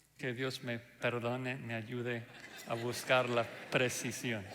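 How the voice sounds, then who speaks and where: A man with a non-native accent at a very slow pace, amid audible room echo and noticeable background noise. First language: not Spanish (speaking Spanish). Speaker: pastor. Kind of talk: sermon. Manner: hesitant fillers (ah, eh).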